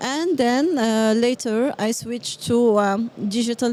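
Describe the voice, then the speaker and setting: With a slight French accent, a woman speaks at a fairly high pitch. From Morocco. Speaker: business development manager. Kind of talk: interview. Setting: live at a trade event. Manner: halting, many fillers.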